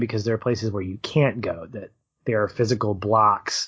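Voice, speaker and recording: A man speaks here. His voice is somewhat breathy. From Arkansas. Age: 40s. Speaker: film podcast co-host. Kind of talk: casual interview.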